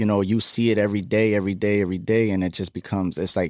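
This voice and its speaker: Fairly quick and fairly low-pitched, a man with an American accent speaks with fairly even intonation in a very clean recording with a silent background. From Chicago, US. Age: 20s. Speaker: guest sharing life story. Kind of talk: interview testimony. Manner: casual, many fillers.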